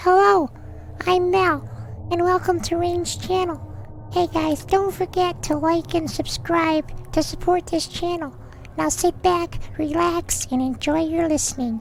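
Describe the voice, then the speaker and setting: A squeaky, put-on character voice at a fairly slow pace, with clear background noise. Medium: read story. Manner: upbeat, friendly.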